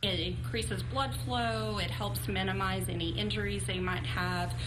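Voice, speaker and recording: A woman talks fairly slowly while noticeable background noise carries on. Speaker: retirement community staff member. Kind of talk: interview answer. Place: home room.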